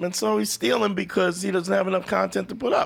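A very fast voice in a New York accent with very wide pitch swings. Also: man. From Brooklyn, New York. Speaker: comedian. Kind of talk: casual chat.

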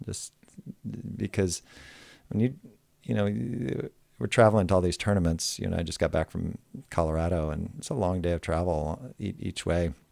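A mumbling man with a very deep, low voice and an American accent, lively intonation, a moderate pace, and long, frequent pauses. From United States. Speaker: professional beach volleyball player. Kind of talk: casual interview chat. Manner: low talker, mumbles.

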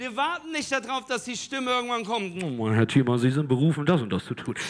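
Projecting a raised voice, a man speaks in a bright, sharp, animated and energetic tone, his pitch swinging very widely. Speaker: preacher. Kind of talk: sermon. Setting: church with live audience. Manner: animated, loud, energetic call-and-response; urgent, direct appeals to the audience.

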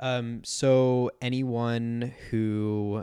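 Man with a Californian accent against a quiet background. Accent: Californian American. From San Diego, US. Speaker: podcast host. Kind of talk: interview.

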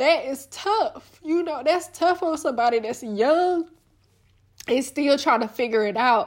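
A woman's high voice with lively intonation at a fairly slow pace, in a very clean recording over a silent background. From US South, Little Rock, Arkansas. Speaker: podcaster and small business owner. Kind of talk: solo reflective monologue. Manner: casual, filler-heavy.

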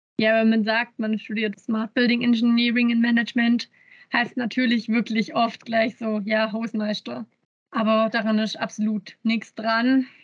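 A fairly high, somewhat breathy woman's voice at a fairly slow pace, in a monotone, flat intonation. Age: 20s. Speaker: university student. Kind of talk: interview.

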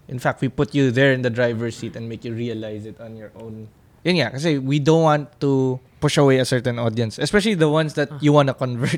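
Talking at a very fast pace, a man at a medium pitch shows big swings in loudness and ordinary pitch variation. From Philippines. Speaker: film director. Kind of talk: interview. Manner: hesitant with fillers.

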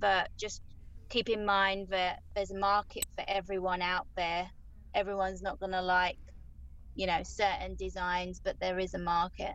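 A woman speaks at a moderate pace in a Southeast London accent. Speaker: graphic designer. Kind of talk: casual interview.

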